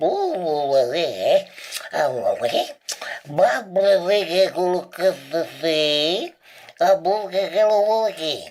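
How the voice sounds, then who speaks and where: Putting on a cartoonish character voice at medium pitch, a woman speaks at a very slow pace with long, frequent pauses. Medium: puppet show. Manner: garbled, confused.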